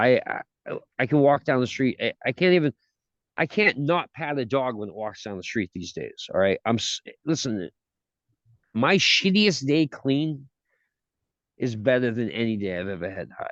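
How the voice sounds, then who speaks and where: This man's voice sits at a medium pitch, moving through very wide pitch swings in an animated tone at a moderate pace. He leaves long, frequent pauses, and the sound is dry and close with no echo. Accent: Boston. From Massachusetts (Gloucester). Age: 40s. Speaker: recovering addict. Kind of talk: interview testimony.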